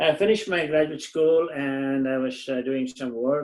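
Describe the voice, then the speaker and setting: A man is speaking. He has a Tamil accent. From southern India, Tamil Nadu. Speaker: engineer and community volunteer. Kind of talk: interview. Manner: halting, many fillers.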